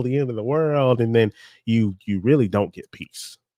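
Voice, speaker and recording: A man's ordinary speaking voice at medium pitch, ordinary pitch variation, very clean recording with a silent background. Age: 30s. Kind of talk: casual chat.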